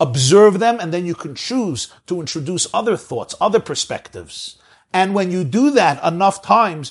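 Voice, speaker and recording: Over a quiet background, a man with a Brooklyn accent talks at a moderate pace, his pitch high and his intonation lively. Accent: New York American, Brooklyn. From Brooklyn, New York. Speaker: rabbi, lecturer. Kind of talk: lecture. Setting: video call.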